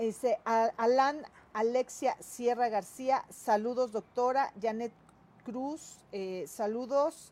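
A woman speaks at a very slow pace with long, frequent pauses. Her pitch is high. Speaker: interviewer, online news show host. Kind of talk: interview; reading viewer comments and greetings. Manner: halting, many fillers.

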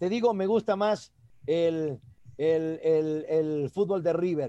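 A man talks at a very slow pace with lively intonation. His tone is dark and mellow. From Ecuador, El Oro province (Piñas). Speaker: sports commentator. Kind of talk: interview.

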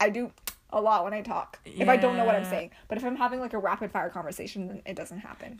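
Her words come out very quickly. Background noise can be clearly heard. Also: big swings in loudness. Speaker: podcast host. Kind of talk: casual, conversational. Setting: podcast recording. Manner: fast talker.

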